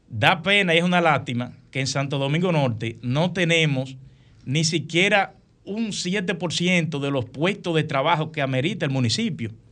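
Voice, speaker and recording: An unremarkable speaking voice from a man, fairly high in pitch and fairly slow, over a quiet background. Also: ordinary pitch variation. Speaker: engineer, professor and congressional candidate. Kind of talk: radio interview.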